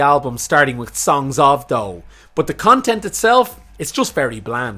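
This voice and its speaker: Speaking at a moderate pace with an Irish accent, a man uses a fairly high pitch with very wide pitch swings and a bright, sharp tone. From Ireland. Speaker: music commentator, YouTuber. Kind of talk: video essay / opinion commentary.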